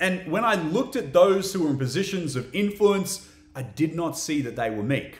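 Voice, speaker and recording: Audible room echo is present against a quiet background. The man speaking has a high pitch. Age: 30s. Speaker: podcast host. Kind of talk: solo educational talk.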